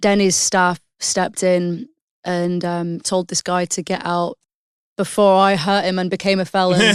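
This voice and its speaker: A woman with a British accent speaks at medium pitch in a monotone, flat delivery. Her pace is fairly slow with long, frequent pauses, on a very clean recording with a silent background. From England, Hull. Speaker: singer-songwriter. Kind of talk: podcast interview.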